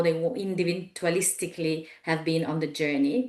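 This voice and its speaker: Against noticeable background noise, a woman with an Italian accent speaks in a fairly low voice with ordinary pitch variation. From Italy. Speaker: executive coach. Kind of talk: webinar presentation. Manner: halting, many fillers.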